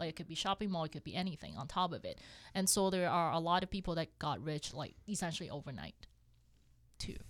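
Speaking at a very fast pace, a woman talks with a Cantonese accent. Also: fairly low pitch for a woman, ordinary pitch variation, very clean recording, silent background. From Hong Kong. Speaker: accountant and real estate investor. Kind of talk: casual interview chat.

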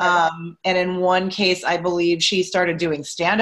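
A woman with an American accent speaks at a moderate pace in a medium pitch. She has a plain, everyday voice, and the background is quiet. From Pittsburgh, US. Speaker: improv coach and teacher. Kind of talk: casual interview chat.

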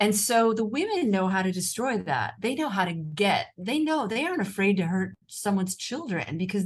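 Speaking with an American accent, a woman talks at a fairly quick pace and medium pitch. Her voice is somewhat breathy, with lively intonation. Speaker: author and journalist. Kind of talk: casual interview chat. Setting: video call from Rome.

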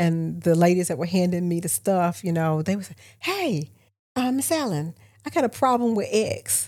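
A woman's unremarkable speaking voice with an American accent, fairly low in pitch, with lively intonation and a moderate pace. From Augusta, Georgia (US South). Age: 60s. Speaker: local government consultant and podcast host. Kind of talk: casual interview conversation. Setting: studio.

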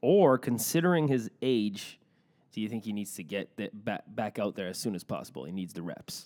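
Using a normal speaking voice, a man talks with lively intonation at a moderate pace. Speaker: sports podcast host. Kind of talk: casual chat. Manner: jokey, laughs often.

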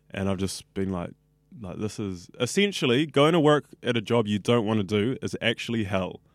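The recording is very clean with a silent background as a man speaks at a fairly low pitch and moderate pace, with ordinary pitch variation. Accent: New Zealand. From New Zealand, West Auckland. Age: 20s. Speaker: radio student. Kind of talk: casual interview. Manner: animated.

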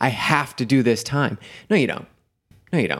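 A man with a plain, everyday voice talks at a fairly quick pace in a medium pitch with ordinary pitch variation. The recording is very clean, with a silent background. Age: 40s. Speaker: endurance and mindset coach. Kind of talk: casual interview chat.

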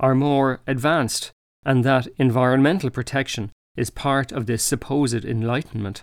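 The speaker has an Irish accent. The recording is very clean, with a silent background. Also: man. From Ireland. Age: 40s. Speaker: ecologist and author. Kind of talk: scripted narration.

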